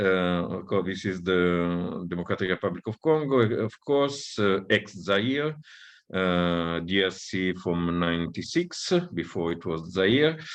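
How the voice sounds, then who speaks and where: Very deep, low pitch marks this man's voice. His intonation is lively and his pace fairly slow. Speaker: academic researcher. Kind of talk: lecture. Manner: halting, many fillers.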